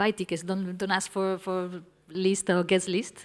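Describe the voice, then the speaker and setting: A woman speaks in a Spanish accent at a moderate pace. Her pitch is medium. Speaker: music industry panelist. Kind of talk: panel discussion. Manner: halting, repeats words.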